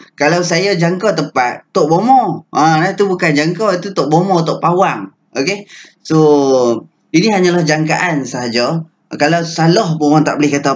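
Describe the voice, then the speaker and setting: An ordinary speaking voice with ordinary pitch variation at a moderate pace. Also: man, fairly high pitch for a man. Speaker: stock trading educator. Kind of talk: tutorial. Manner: casual, filler-heavy.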